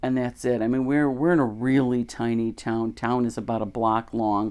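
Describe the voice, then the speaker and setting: A woman with a Chicago accent speaks at a moderate pace in a very deep, low pitch. Her tone is dark and mellow, and her intonation fairly even. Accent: Chicago-area American. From US Midwest, Chicago area, Illinois. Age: 60s. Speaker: podcaster, religious teacher. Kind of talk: casual monologue. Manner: conversational, with fillers.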